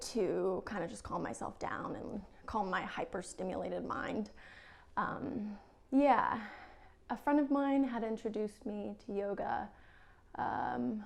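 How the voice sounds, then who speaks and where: The voice moves at a fairly slow pace with lively intonation. Noticeable background noise can be heard. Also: woman. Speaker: yoga teacher. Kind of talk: casual talk to camera.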